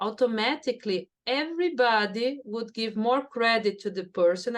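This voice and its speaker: A woman's fairly high voice in a Brazilian Portuguese accent, with lively intonation. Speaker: neuroscience professor. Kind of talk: interview.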